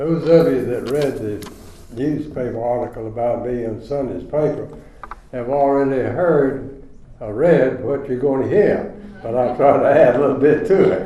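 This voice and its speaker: A man with an American accent speaks at a moderate pace and medium pitch, with ordinary pitch variation, audible room echo and noticeable background noise. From US South, rural Chatham County, North Carolina. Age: 90s. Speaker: retirement community resident. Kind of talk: storytelling.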